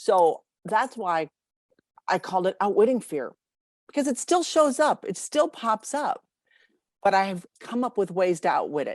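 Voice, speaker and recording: Long, frequent pauses mark a woman's speech, her fairly high pitch swinging very widely in a very clean recording with a silent background. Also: moderate pace, dry, close sound with no echo. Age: 60s. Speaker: marketing professional and author. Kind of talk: interview.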